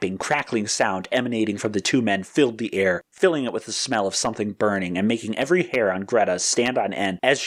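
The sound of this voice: A reading voice that sounds unforced.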